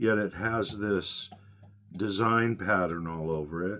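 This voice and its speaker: A man speaks at a very slow pace. His intonation is fairly even. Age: 60s. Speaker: magic prop maker. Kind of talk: tutorial. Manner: hesitant with fillers.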